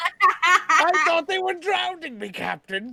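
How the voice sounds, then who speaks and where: In a put-on character voice, someone speaks at an extremely high pitch and a fairly slow pace. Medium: actual play.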